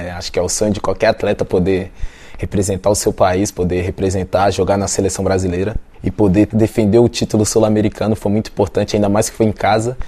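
Noticeable background noise sits under a man's fairly low, monotone voice as he speaks at a very fast pace with flat intonation. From Brasília, Brazil. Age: 20s. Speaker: professional volleyball player. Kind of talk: interview.

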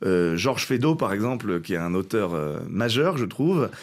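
Here a man speaks at a moderate pace with lively intonation. His recording is very clean, with a silent background. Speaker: actor and co-author of a stage show. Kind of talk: interview. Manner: halting with repetitions.

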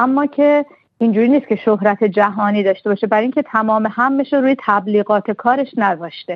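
A woman speaks in an ordinary speaking voice at a fairly high pitch. Her pace is fairly quick, with ordinary pitch variation. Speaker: literary translator and poet. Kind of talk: radio interview.

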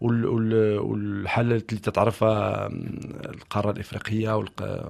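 Very slowly and in a flat monotone, a man speaks at a fairly low pitch. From Morocco. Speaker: musician. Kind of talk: interview. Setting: studio. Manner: halting, with repetitions.

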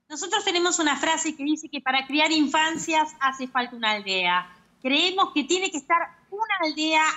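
A woman speaks with lively intonation. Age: 50s. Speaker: abuse survivor advocate. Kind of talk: interview.

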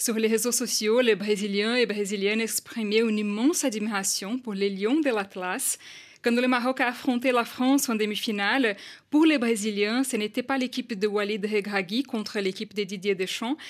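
Speaking in a Portuguese accent, this voice keeps a moderate pace and ordinary pitch variation. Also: woman. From Brazil. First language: Portuguese (speaking French). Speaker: journalist. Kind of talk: radio news report. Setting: studio.

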